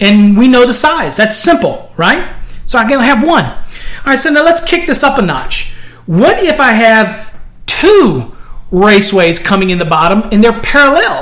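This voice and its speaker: Over noticeable background noise, the speaker keeps a moderate pace and very even loudness while the pitch swings very widely. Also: man, extremely high pitch for a man. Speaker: podcast host, electrical code instructor. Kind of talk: tutorial. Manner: casual, with frequent fillers.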